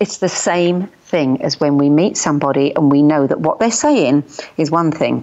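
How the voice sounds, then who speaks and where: A woman speaks with a British accent in a very deep, low voice. Her pace is moderate and her pitch variation ordinary. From UK. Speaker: journalist and radio host. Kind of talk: interview answer.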